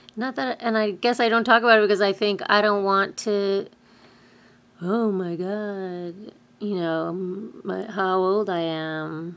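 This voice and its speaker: Speaking at a fairly slow pace in an American accent, a woman with a medium-pitched voice keeps her intonation fairly even on a very clean recording with a silent background. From New York. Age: 30s. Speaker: vlogger, musician and voice teacher. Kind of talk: casual video blog monologue. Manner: halting, many fillers.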